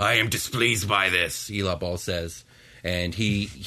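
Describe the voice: In this plain reading aloud, the speaker holds the intonation fairly even.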